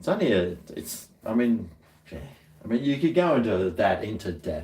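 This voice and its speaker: A man with an Australian accent, medium in pitch, with very wide pitch swings. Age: 50s. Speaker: livestreamer. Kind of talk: casual chat. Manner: halting.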